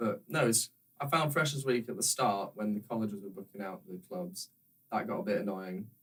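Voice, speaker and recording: In a Yorkshire accent, a man talks at a fairly quick pace with very wide pitch swings. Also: medium pitch for a man. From northern England, Yorkshire (near Harrogate). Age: young. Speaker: university student. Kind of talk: casual chat.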